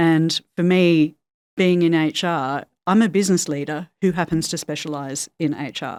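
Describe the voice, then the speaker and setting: Dry and close with no echo, the recording has a woman with an Australian accent speaking at a moderate pace in a fairly low pitch with fairly even intonation. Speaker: HR executive. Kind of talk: podcast interview.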